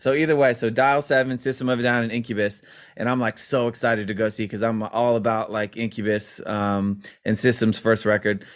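Here is a man with an ordinary speaking voice at medium pitch. He talks at a fairly quick pace with fairly even intonation. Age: 40s. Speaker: rock guitarist and producer. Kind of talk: casual interview. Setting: remote call.

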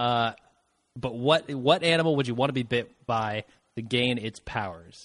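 A plain, everyday voice speaking at a moderate pace with ordinary pitch variation. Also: man, medium pitch for a man. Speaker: guest co-host. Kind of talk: casual banter podcast.

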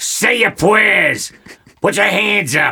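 A man puts on a character voice. His pitch sits high. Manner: maniacal, sudden shift to rage.

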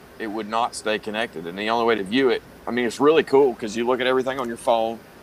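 Pitch varies in an ordinary way, and there is noticeable background noise behind the voice. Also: man. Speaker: podcast co-host.

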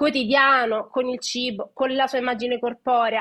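A raised, projected voice with a bright, sharp tone at a moderate pace. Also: woman. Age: 30s. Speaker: nutrition educator. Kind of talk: casual chat. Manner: animated.

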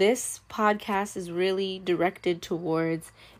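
On a very clean recording with a silent background, a woman with a plain, everyday voice speaks at a fairly low pitch with fairly even intonation. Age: young. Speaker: podcast host, college student and influencer. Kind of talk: faith podcast monologue.

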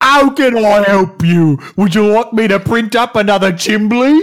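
A put-on character voice in a Cockney accent, fairly high in pitch, at a moderate pace.

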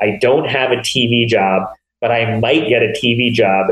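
Talking at a fairly slow pace, a man uses an ordinary speaking voice at a medium pitch. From US Northeast (small-town Pennsylvania, New York border). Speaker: TV comedy writer and producer. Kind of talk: casual chat.

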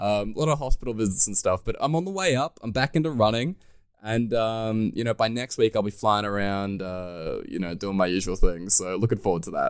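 Lively intonation in an Australian accent. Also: man, fairly low pitch for a man, fairly quick pace. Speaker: podcast host, Hearthstone streamer. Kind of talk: casual podcast interview.

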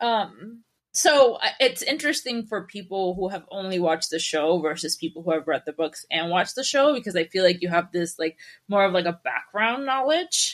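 A woman with an ordinary speaking voice, medium pitch, and lively intonation. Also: moderate pace. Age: 30s. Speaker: book event founder. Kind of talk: casual chat.

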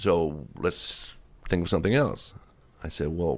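Very deep and low, a man's voice with vocal fry moves at a fairly quick pace in an American accent. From Virginia, US. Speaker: Armenian advocacy group leader. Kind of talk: interview.

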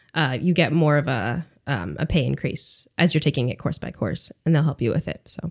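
Her voice is very deep and low, with vocal fry and lively intonation. This woman talks at a moderate pace with hardly any pauses. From upstate New York, US. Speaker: language teacher. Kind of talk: casual interview.

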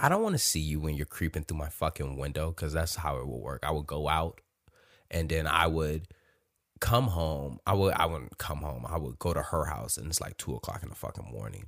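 In a very clean recording with a silent background, a man with a very deep, low pitch and vocal fry speaks at a fairly quick pace in an animated tone with ordinary pitch variation. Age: 30s. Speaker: podcast host. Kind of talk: casual monologue.

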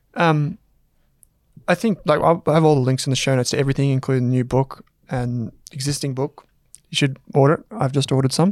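With an Australian accent, a man talks at a very fast pace, his pitch varying in an ordinary way, though he stops often for long pauses. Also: fairly high pitch for a man. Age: 30s. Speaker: business podcast host. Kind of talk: casual interview chat; scripted intro. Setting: studio with camera.

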